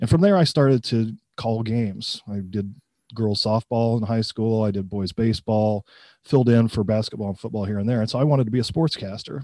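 With a dark, mellow tone at medium pitch and ordinary pitch variation, a man talks at a fairly quick pace in a dry, close sound with no echo, on a very clean recording with a silent background. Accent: Midwestern American. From US Midwest, central Illinois. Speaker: college professor. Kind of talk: interview.

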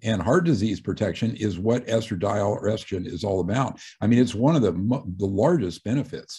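The speaker talks at a fairly quick pace with lively intonation. The tone is dark and mellow, and somewhat breathy. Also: man, fairly low pitch for a man. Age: 60s. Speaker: retired physician and author. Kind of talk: radio interview.

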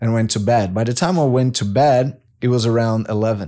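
Against a quiet background, a man with a Portuguese accent talks at a moderate pace and medium pitch with fairly even intonation. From Brazil. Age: 30s. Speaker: Olympic swimmer. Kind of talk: interview conversation. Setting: studio.

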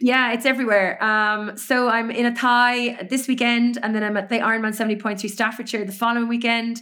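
Speaking in a Cork accent, a woman uses monotone, flat intonation at a fairly high pitch. Her fairly quick delivery has hardly any pauses, on a very clean recording with a silent background. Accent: Irish (Cork). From Ireland, Cork. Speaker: race announcer and podcaster. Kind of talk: casual interview chat.

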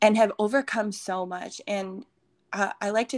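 Recorded very cleanly against a silent background with a dry, close sound and no echo, a woman has an ordinary speaking voice, medium in pitch, at a moderate pace with fairly even intonation. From Minnesota. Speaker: fitness coach and retreat speaker. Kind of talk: casual interview with faith testimony.

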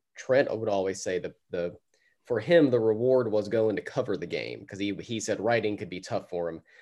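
Against a quiet background, a man with a dark, mellow tone and fairly low pitch talks at a moderate pace. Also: ordinary pitch variation. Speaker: podcast host. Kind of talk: casual interview conversation.

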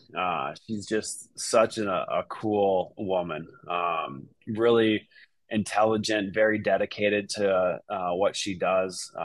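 A man with a fairly low pitch and an American accent speaks at a very slow pace with fairly even intonation, in a very clean recording over a silent background. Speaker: real estate agent. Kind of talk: casual interview.

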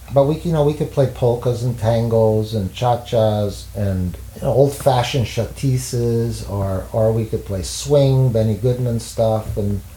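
There is noticeable background noise in this clip. A man speaks at a fairly slow pace. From Montreal, Quebec. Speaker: jazz saxophonist and teacher. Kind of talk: interview. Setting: at home. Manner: halting.

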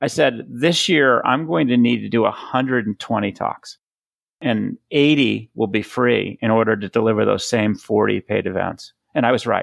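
A man speaks fairly slowly with an American accent, vocal fry and ordinary pitch variation. The recording is very clean, with a silent background and a dry, close sound with no echo. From Boston. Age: 50s. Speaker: product leadership coach and speaker. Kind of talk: interview. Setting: call.

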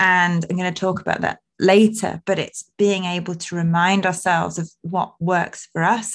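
A woman with a British accent talks at a fairly slow pace against a quiet background. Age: 30s. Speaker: podcast host and wellbeing coach. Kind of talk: solo personal reflection podcast.

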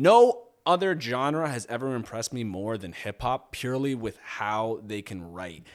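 On a very clean recording with a silent background, a man with a medium pitch uses an ordinary speaking voice. He moves at a moderate pace with hardly any pauses, lively intonation and big swings in loudness. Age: 20s. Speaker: musician. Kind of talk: casual chat.

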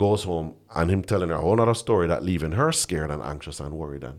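A man speaks at a fairly quick pace in a very deep, low pitch with ordinary pitch variation. The recording is very clean, with a silent background. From Jamaica. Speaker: pastor. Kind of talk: casual chat. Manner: halting.

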